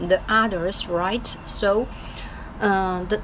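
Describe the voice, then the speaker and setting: Against noticeable background noise, a woman with a Chinese accent speaks very slowly at a medium pitch with fairly even intonation. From China. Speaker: English learner vlogger. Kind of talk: casual video diary. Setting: office. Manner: halting, many fillers.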